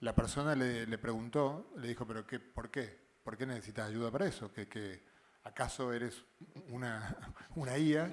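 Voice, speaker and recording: With ordinary pitch variation, a man keeps to a medium pitch and a moderate pace. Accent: Argentine. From Argentina. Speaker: physicist. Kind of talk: panel discussion. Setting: live show. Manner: halting, many fillers and repetitions.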